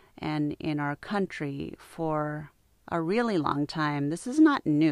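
A woman's fairly low voice, a normal speaking voice, with an American accent at a fairly slow pace on a very clean recording with a silent background. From United States. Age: 50s. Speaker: yoga and meditation teacher. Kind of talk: unscripted monologue. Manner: conversational.

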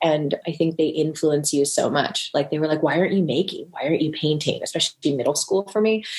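With noticeable background noise behind her, a woman talks very fast with hardly any pauses, in a very deep, low pitch with ordinary pitch variation. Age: 30s. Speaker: art educator and artist. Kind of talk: casual chat.

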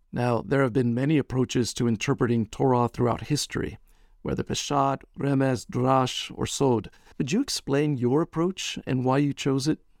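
Heard on a very clean recording with a silent background and a dry, close sound with no echo, a normal speaking voice keeps a moderate pace, ordinary pitch variation and very even loudness. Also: man, medium pitch for a man. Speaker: podcast host, professor. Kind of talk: interview. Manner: formal.

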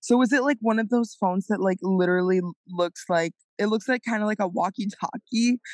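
This woman has an ordinary speaking voice with a fairly high pitch. She talks at a fairly quick pace, her loudness very even. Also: ordinary pitch variation. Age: 20s. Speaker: podcast co-host. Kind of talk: casual chat.

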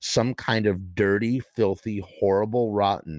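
Reading aloud in a natural voice, the speaker holds a fairly even intonation.

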